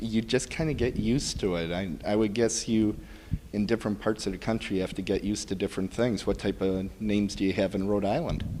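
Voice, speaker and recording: A very fast-talking man with an American accent and a fairly low pitch. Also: ordinary pitch variation. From US Midwest, Milwaukee, Wisconsin. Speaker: podcast interviewer. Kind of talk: interview. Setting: bridal shop.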